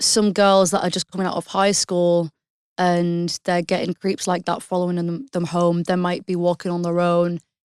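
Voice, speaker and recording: Monotone, flat delivery at a moderate pace in a British accent, with a dry, close sound with no echo and a very clean recording, silent background. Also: woman, fairly low pitch for a woman. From England, Hull. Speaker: singer-songwriter. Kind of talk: podcast interview.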